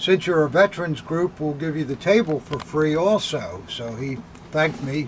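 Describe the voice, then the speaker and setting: With noticeable noise behind him, a man talks at a moderate pace in a fairly high voice with ordinary pitch variation. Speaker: antiques dealer. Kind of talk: casual chat. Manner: halting.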